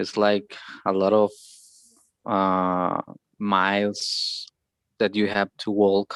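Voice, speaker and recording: Very slow and marked by long, frequent pauses, a man with a Spanish accent speaks at a fairly low pitch in monotone, flat intonation, with a dry, close sound with no echo. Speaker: English learner in conversation group. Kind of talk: speaking practice answer. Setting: video call. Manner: halting, repetitions.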